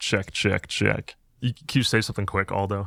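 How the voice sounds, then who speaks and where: A man with a fairly low pitch and a bright, sharp tone at a moderate pace, on a very clean recording over a silent background. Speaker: podcast host. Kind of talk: casual chat.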